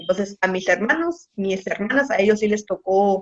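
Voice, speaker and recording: A woman at a medium pitch and a moderate pace. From Baja California, Mexico (San Quintín valley). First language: Mixtec (speaking Spanish). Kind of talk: radio interview.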